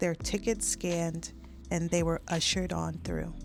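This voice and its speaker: A soft-spoken woman over music in the background. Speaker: audiobook narrator. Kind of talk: scripted narration.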